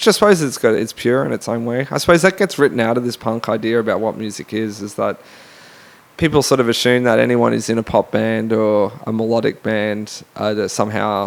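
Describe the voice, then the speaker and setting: Here a man talks with an Australian accent at a fairly quick pace. His pitch sits in the medium range. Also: ordinary pitch variation. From Australia, Brisbane. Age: 30s. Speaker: musician and academic. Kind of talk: interview. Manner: halting.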